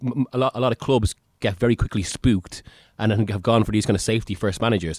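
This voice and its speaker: A man's medium-pitched, unremarkable speaking voice with ordinary pitch variation and a dry, close sound with no echo. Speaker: chief football writer and podcast host. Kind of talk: casual chat about football.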